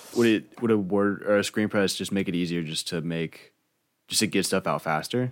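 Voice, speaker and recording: This man has a plain, everyday voice, fairly low in pitch with ordinary pitch variation. He speaks at a moderate pace on a very clean recording with a silent background. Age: 20s. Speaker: podcast host. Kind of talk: casual chat.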